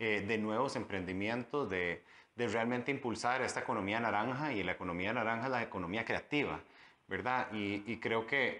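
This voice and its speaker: The man has an ordinary speaking voice with a medium pitch and ordinary pitch variation. He talks at a fairly quick pace against a quiet background. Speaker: politician, mayoral candidate. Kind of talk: interview.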